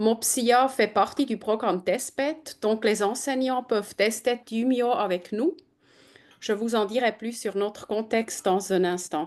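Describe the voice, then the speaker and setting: Fairly high-pitched female voice in a German accent, very slow in pace, with ordinary pitch variation and a quiet background. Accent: German-speaking accent in French. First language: German (speaking French). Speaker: edtech program manager. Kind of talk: webinar presentation. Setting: video call.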